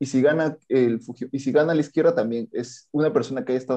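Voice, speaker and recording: Against a quiet background, a man with a dark, mellow tone talks at a very fast pace with fairly even intonation. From southern Peruvian highlands (Andahuaylas). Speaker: law graduate, guest. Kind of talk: casual political discussion.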